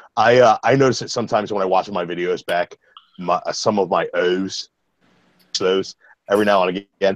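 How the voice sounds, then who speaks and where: A man with an American accent and lively intonation at a moderate pace, in a dry, close sound with no echo. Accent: slight Baltimore accent, mostly concealed. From US, Baltimore, Maryland. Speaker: comic book reviewer. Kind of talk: casual chat, comic review.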